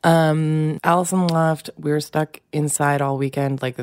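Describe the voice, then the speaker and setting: A woman's fairly even intonation comes through against noticeable background noise. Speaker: podcast co-host, comedian and parent. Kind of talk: casual comedic banter between spouses. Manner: laughing, wry, conversational.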